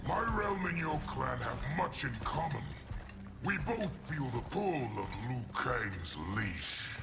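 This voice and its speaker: A man puts on a cartoonish character voice at a fairly slow pace. Loud background noise runs behind him. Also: medium pitch for a man. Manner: cold, commanding.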